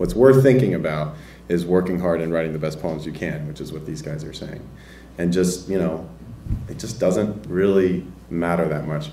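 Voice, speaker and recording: Against light background noise and audible room echo, a man with a very deep, low pitch and an American accent talks at a moderate pace with ordinary pitch variation and big swings in loudness. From US South, Nashville, Tennessee; Tennessee. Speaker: poet. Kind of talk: panel Q&A discussion. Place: classroom. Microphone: handheld.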